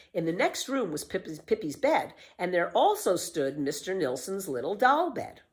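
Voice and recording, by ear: This is a recording of speech. The speaker is reading aloud in a natural voice.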